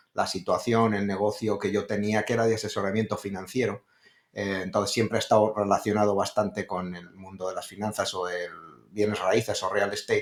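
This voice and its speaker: A man with a Spanish accent talks at a fairly quick pace in a monotone, flat intonation. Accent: Spanish (Spain). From Spain, Madrid. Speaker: real estate investor. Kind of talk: interview. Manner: hesitant, many fillers.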